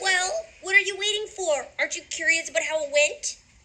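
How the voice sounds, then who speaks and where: A woman puts on a character voice pitched extremely high, with lively intonation and a fairly quick pace. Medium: stage play. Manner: loud, commanding, brusque.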